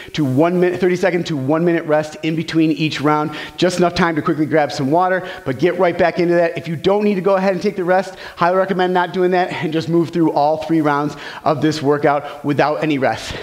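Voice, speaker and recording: Speaking at a fairly quick pace, a man uses a high pitch and fairly even intonation. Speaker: fitness trainer. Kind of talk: workout tutorial. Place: gym.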